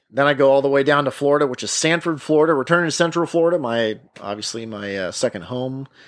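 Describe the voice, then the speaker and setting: In an ordinary speaking voice at medium pitch, a man talks with lively intonation on a very clean recording with a silent background. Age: 30s. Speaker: podcast host, warbird aviation mechanic. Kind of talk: casual solo podcast monologue. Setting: outdoors at sunset.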